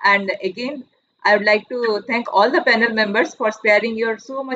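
A woman with a normal speaking voice, fairly high pitch, ordinary pitch variation and a moderate pace. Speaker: physics professor and event organizer. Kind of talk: opening and closing remarks. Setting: video call. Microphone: video call.

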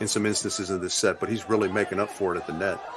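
A man's voice over noticeable background noise. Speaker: color commentator. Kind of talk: analytical sports commentary. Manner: measured, conversational with fillers and repetitions.

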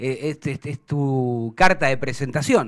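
A man with a Rioplatense accent at a moderate pace, against a quiet background. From Argentina. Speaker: sports show host. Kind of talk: interview. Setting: studio. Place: studio. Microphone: studio mic.

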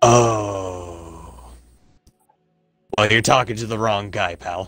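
Putting on a character voice, a man speaks raspily at a fairly low pitch and a very slow pace. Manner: gruff, defensive.

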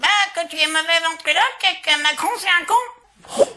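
A man speaks at a moderate pace. He uses a cartoonish character voice with an extremely high pitch. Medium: puppet. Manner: insolent.

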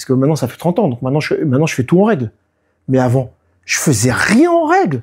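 Over a quiet background, a somewhat breathy man with a fairly high pitch talks at a very fast pace with lively intonation. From France, Nice; France. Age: 50s. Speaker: didgeridoo player and DJ; DJ. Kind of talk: casual interview. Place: home room.

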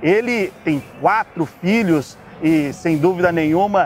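Over faint music in the background, a man with a high pitch speaks at a very slow pace with ordinary pitch variation, the sound dry with no echo. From Brazil. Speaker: sports journalist and host; sports journalist, host. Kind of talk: interview. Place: street. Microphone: lapel.

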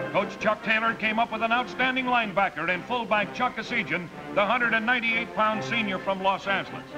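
A man's raised, projected voice at a very fast pace with hardly any pauses, high in pitch with ordinary variation, over clear background music. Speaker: sports broadcaster. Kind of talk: sports newsreel voice-over. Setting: vintage 1950s film audio. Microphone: old recording.

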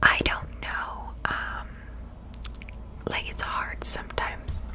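Whispering and soft-spoken at a very slow pace, the voice comes through noticeable background noise. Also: woman. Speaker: content creator. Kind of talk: casual vlog chat. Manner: close soft ASMR whisper. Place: home room. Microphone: studio mic.

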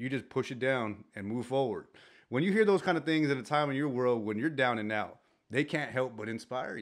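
A man at a fairly quick pace, ordinary pitch variation, quiet background. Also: medium pitch for a man. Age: 40s. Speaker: co-host and fellow podcaster. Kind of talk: casual chat. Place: studio. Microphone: studio mic.

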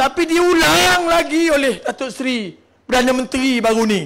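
At a fairly slow pace, a raised, projected voice carries lively intonation. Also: man. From Malaysia, Terengganu (Marang). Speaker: politician, election candidate. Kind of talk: political rally speech.

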